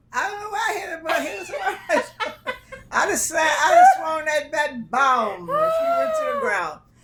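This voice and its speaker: The speaker goes at a moderate pace with very wide pitch swings and big swings in loudness over noticeable background noise. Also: woman, extremely high pitch for a woman. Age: 80s+. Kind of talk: interview answer.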